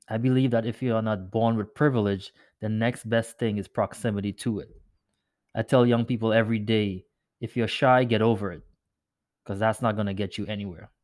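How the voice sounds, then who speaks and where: In a very clean recording with a silent background, a man at medium pitch talks at a fairly quick pace with monotone, flat intonation. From Trinidad. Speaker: podcast host, finance professional and nonprofit leader. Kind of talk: podcast monologue.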